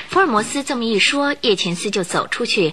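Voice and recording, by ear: Her tone bright and sharp, a woman talks at a moderate pace with lively intonation.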